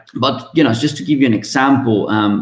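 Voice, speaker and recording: A man speaks with a Spanish accent. His pitch variation is ordinary. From Venezuela. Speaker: mechanical engineer. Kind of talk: interview. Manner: hesitant, many fillers.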